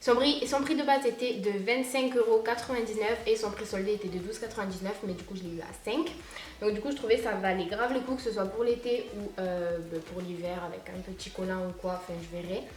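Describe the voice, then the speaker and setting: Amid noticeable background noise and audible room echo, a woman talks at a fairly quick pace with a fairly high pitch, ordinary pitch variation and big swings in loudness. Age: young. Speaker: fashion youtuber. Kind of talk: try-on haul video. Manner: casual, filler-heavy.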